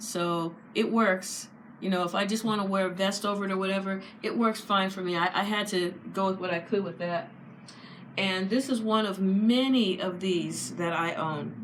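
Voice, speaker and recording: A woman's fairly even intonation amid audible room echo and noticeable background noise. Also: medium pitch for a woman, moderate pace. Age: 50s. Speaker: fashion vlogger. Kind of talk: casual chat.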